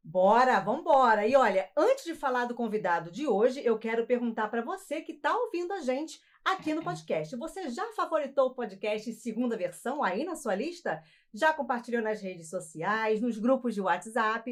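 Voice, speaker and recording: A woman's high voice at a moderate pace, with very wide pitch swings and hardly any pauses. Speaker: podcast host. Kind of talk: podcast intro, upbeat casual talk. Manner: upbeat.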